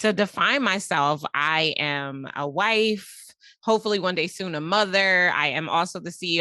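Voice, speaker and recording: Animated and bright, with a sharp tone, a woman speaks with an American accent. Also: quiet background. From United States. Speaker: business coach and company CEO. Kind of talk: podcast interview.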